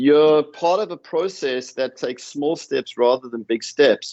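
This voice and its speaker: A man with a South African accent. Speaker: professor. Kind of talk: panel discussion. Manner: repeats words, some false starts.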